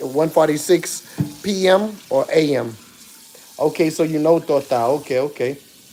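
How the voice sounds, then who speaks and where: Over noticeable background noise, a man talks at a moderate pace. His pitch is fairly high and his intonation fairly even. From South Africa. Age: 40s. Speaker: live streamer. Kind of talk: casual live stream chat while cooking.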